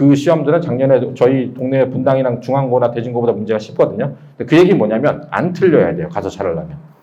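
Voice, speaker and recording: Over noticeable background noise, a man at a medium pitch speaks very fast with lively intonation. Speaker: math academy director. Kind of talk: admissions seminar talk.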